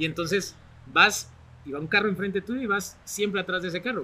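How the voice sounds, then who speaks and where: In a raised, projected voice, a man speaks at a very fast pace with a high pitch, ordinary pitch variation and a bright, sharp tone. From Guatemala, Barberena, Santa Rosa. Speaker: television personality and author. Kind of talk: podcast interview.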